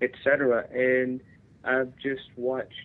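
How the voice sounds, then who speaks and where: With a Tennessee accent, a man talks at a medium pitch. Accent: Southern US (Tennessee). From Tennessee, Nashville. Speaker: union veterans advocate, Marine veteran. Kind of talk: radio interview.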